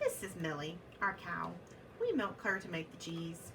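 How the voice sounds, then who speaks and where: Over clear background noise, a woman uses a put-on character voice at a fairly low pitch and a moderate pace. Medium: read story. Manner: friendly, cheerful.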